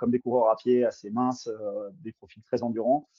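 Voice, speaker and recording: This is a man speaking at a medium pitch. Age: 30s. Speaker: cross-country skier. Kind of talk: interview. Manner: hesitant, many fillers.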